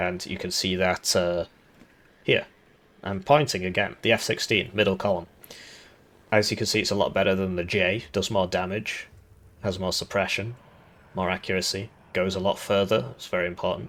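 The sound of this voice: A raspy man speaks at low pitch with a fairly bright tone and fairly even intonation. His pace is moderate, broken by long, frequent pauses.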